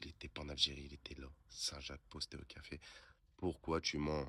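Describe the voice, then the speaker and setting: Putting on a character voice, a man speaks hoarse and at a moderate pace in a very deep, low pitch, monotone and flat in intonation, with big swings in loudness. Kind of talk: casual, colloquial French. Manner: accusing, confrontational.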